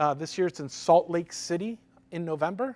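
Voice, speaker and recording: Recorded very cleanly against a silent background, a man speaks at a high pitch. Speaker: conference speaker, open source foundation staff. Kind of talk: conference talk. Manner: fast.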